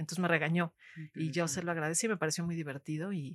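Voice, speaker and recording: Speaking at a fairly quick pace, a woman has an unremarkable speaking voice with a fairly low pitch. The sound is dry and close, with no echo. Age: 50s. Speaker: poet. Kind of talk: interview conversation.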